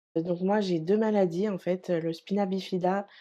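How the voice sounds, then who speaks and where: This woman has a dark, mellow tone and fairly low pitch, speaking at a moderate pace with monotone, flat intonation. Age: 30s. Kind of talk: interview testimony. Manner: halting, many hesitations.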